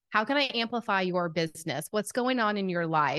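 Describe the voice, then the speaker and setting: With a strong Southern US accent, the speaker uses lively intonation at a moderate pace against a quiet background. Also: woman. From US South, Atlanta, Georgia. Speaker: podcast host and business coach. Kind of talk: casual interview chat. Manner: animated.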